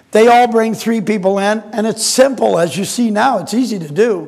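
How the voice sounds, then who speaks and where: Loud and animated, a man speaks at a high pitch with ordinary pitch variation. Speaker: inventor and marketing presenter. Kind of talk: sales pitch.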